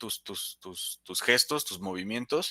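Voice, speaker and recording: A man's bright, sharp tone in a dry, close sound with no echo. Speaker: soft skills instructor. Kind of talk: live online class. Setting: live stream. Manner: fast; stumbles over words, repeats.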